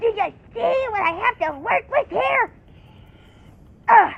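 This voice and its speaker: A put-on character voice comes through at an extremely high pitch. The pace is fairly slow. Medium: role play. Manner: exasperated, bossy.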